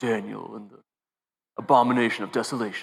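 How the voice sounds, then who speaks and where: Using a put-on character voice, a man rattles along at a very fast pace in a raspy, medium-pitched voice. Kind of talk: theatrical. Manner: dramatic movie trailer voice.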